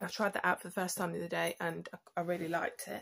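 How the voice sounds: A woman speaks at a fast pace with a fairly low pitch and vocal fry. There is little pitch movement. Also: fairly bright tone.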